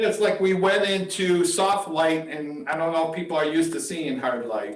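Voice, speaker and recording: Audible room echo surrounds the speaker. He is a man with a high voice, talking at a fairly slow pace. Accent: American. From Michigan, Detroit. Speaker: photography instructor. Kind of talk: live workshop Q&A.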